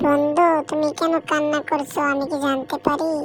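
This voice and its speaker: A high-pitched, cartoonish character voice with monotone, flat intonation, a moderate pace and clear background noise. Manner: rhyming, self-praising.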